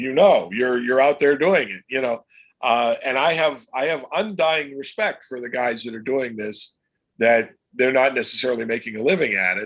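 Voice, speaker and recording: Speaking at a moderate pace, a man with an American accent has a medium-pitched voice. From Pennsylvania, US. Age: 60s. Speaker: comic book illustrator. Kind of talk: interview. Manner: halting, many fillers and repeats.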